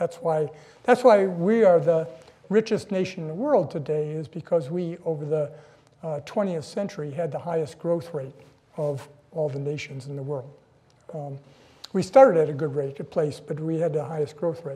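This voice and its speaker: A man with a dark, mellow tone talks with big swings in loudness and ordinary pitch variation. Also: moderate pace. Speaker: guest lecturer. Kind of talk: lecture. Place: hall. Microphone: podium.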